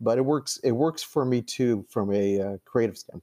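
Lively intonation and a dark, mellow tone mark this Californian accent, heard with a dry, close sound with no echo against a quiet background. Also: man. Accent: Californian American English. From Los Angeles, US. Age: 60s. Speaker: playwright and government lawyer. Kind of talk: interview.

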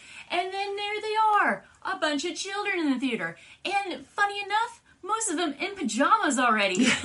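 A woman speaks in a raised, projected voice at an extremely high pitch, with very wide pitch swings. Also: moderate pace. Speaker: comic book podcast co-host. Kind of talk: casual chat.

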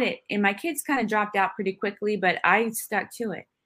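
A woman with an American accent has an ordinary speaking voice. She talks at a fairly quick pace with ordinary pitch variation. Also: very clean recording, silent background. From Northern California (Santa Rosa). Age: 40s. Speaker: Army veteran and film producer. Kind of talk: casual interview.

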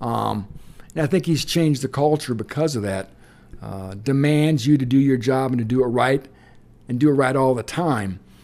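A man at medium pitch with a Midwestern American accent, ordinary pitch variation and a moderate pace, on a very clean recording with a silent background. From Indiana. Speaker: college football writer. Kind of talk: casual interview. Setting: on location at a convention.

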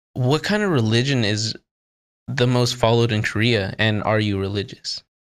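On a very clean recording with a silent background, a man with an American accent speaks at a moderate pace in a medium pitch, an unremarkable speaking voice. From US. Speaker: podcast host. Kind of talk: casual interview.

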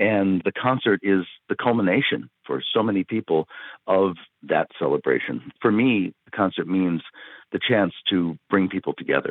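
Using a normal speaking voice, a man talks at a moderate pace in a fairly low pitch with lively intonation and very even loudness. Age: 60s. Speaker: orchestra conductor. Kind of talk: interview.

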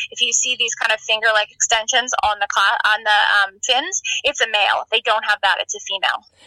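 A woman with an American accent has an unremarkable speaking voice. She talks at a fairly quick pace with fairly high pitch and ordinary pitch variation. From Maine, US. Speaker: marine biologist. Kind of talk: interview.

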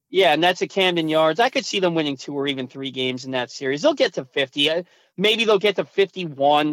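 Recorded very cleanly with a silent background and a dry, close sound with no echo, a man with a fairly high pitch and an ordinary speaking voice talks at a fairly quick pace with lively intonation. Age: 30s. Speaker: sports radio host. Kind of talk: casual chat.

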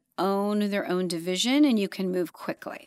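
A plain, everyday voice with an American accent moves at a fairly slow pace with ordinary pitch variation. The recording is very clean, with a silent background. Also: woman. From Los Angeles, US (moved from London/Zambia at nine). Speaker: streaming content executive. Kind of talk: interview.

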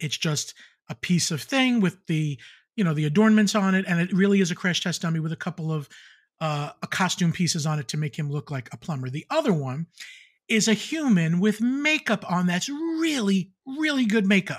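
The recording is very clean, with a silent background. A man with a high pitch talks at a moderate pace with lively intonation. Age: 50s. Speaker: Disney YouTube personality. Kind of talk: casual chat. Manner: animated.

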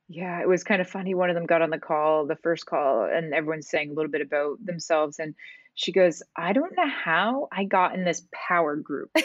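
A woman speaks at a fairly quick pace in a plain, everyday voice with a Canadian accent. Her pitch is fairly low, with ordinary variation. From Canada, small town. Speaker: ice hockey coach. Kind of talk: casual interview.

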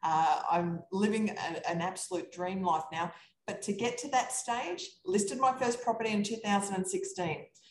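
A woman with an Australian accent speaks at a fairly slow pace, her voice somewhat breathy. Her pitch sits in the middle range and moves with ordinary variation. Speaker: real estate investor. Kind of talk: casual chat.

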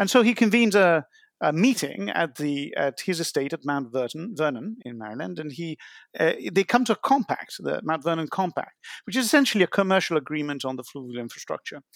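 Pitch swings very widely at a fairly quick pace in a very clean recording with a silent background. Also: man, fairly high pitch for a man. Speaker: author and water scholar. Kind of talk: interview answers, explanatory.

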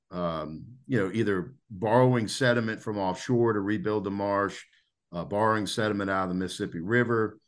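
A man with an American accent talks at a moderate pace and fairly low pitch. His pitch varies in an ordinary way over a quiet background. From Louisiana, US. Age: 40s. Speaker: conservationist and angler. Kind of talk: casual interview. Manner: hesitant with many fillers.

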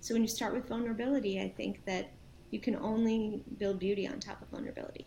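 A woman's fairly high-pitched voice with a dark, mellow tone, vocal fry, big swings in loudness, fairly even intonation and a very fast pace. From New York and New Jersey, US. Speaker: nonprofit founder and CEO. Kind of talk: interview.

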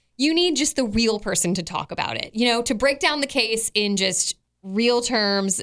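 A woman's plain, everyday voice at a fairly high pitch, with lively intonation and a moderate pace. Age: 40s. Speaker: podcast co-host. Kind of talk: casual chat.

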